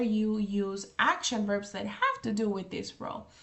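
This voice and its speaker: A woman's flat, monotone voice at a fairly slow pace, with noticeable background noise. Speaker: English teacher. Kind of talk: tutorial.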